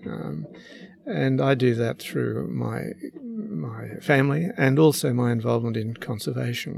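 This man talks at a fairly slow pace with an Australian accent. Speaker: retired lawyer and long-distance sailor. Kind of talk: interview. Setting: on his boat. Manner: hesitant, many fillers.

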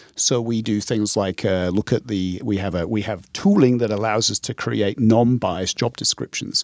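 A man with an ordinary speaking voice talks at a moderate pace with hardly any pauses, his fairly low pitch holding fairly even. The sound is dry and close, with no echo. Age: 50s. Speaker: tech executive. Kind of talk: interview. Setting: studio.

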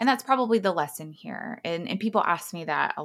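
A woman with an American accent, vocal fry and lively intonation. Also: very clean recording, silent background. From Texas. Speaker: clinical psychologist. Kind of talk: interview. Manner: frequent fillers (um).

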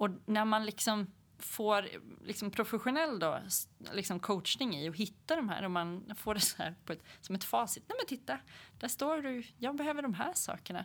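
A woman's plain, everyday voice at medium pitch, moderate pace and lively intonation, on a very clean recording with a silent background. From Sweden, Hälsingland. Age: 40s. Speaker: entrepreneur. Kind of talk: interview.

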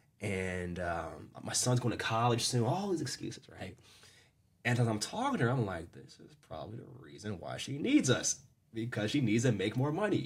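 A man with an American accent, medium pitch, vocal fry, lively intonation, big swings in loudness and a moderate pace. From US Mid-Atlantic, Maryland. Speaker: sales coach. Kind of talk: casual interview chat.

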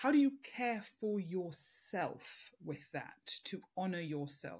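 In a very clean recording with a silent background, a somewhat breathy woman's voice moves through very wide pitch swings. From African, third culture kid. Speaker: podcast host and coach. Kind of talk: interview conversation.

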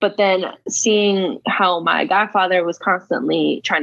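In an American accent, a woman uses an ordinary speaking voice at a medium pitch with ordinary pitch variation. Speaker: author and former foster youth. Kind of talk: interview.

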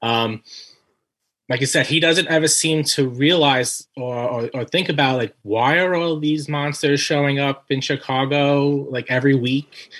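This man has an ordinary speaking voice with an American accent, pitched fairly high for a man. He talks at a fairly slow pace with fairly even intonation. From Brooklyn, New York. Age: 40s. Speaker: writer and anthology editor. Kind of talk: casual interview.

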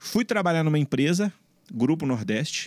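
A man with very wide pitch swings, a dry, close sound with no echo, and a very clean recording over a silent background. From Brazil, Belo Horizonte (Minas Gerais). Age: 30s. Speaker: entrepreneur, founder of a security company. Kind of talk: interview, casual conversation.

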